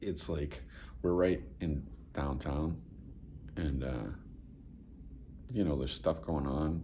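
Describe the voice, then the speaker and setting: In a room with audible echo, a man speaks very slowly at a very deep, low pitch, his tone dark and mellow with vocal fry, ordinary pitch variation and long, frequent pauses. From New England. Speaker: vlogger. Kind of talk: casual vlog. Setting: hotel room, then outdoors downtown. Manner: casual, halting with fillers.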